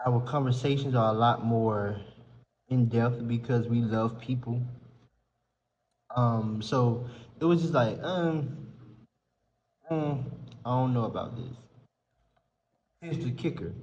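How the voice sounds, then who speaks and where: In a Southern US accent, a man speaks fairly slowly in a relaxed, somewhat breathy tone at a medium pitch with ordinary pitch variation, long, frequent pauses, and audible room echo. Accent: Southern country. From US South, rural South Carolina. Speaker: content creator and podcaster. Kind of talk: casual vlog chat. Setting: apartment lounge. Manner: conversational, relaxed.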